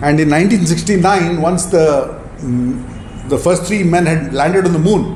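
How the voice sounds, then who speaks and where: A man speaks with a high pitch. Audible room echo and noticeable background noise fill the recording. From India. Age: 60s. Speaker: entrepreneur and mentor. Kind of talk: talk to audience. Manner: halting.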